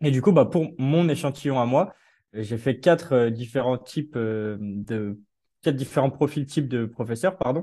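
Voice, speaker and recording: A man with a dark, mellow tone speaks at a fairly slow pace and medium pitch. His pitch variation is ordinary, and the background is quiet. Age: 20s. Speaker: PhD researcher in education. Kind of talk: interview. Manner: hesitant, many fillers.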